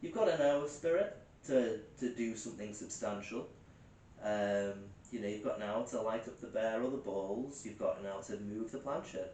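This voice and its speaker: The voice has ordinary pitch variation, with noticeable background noise and audible room echo. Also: man, medium pitch for a man. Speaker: paranormal investigator. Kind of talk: live investigation commentary. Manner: fast; hesitant with many fillers.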